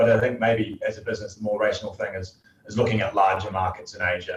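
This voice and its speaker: A man with a New Zealand accent. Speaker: company CEO and founder. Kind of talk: interview.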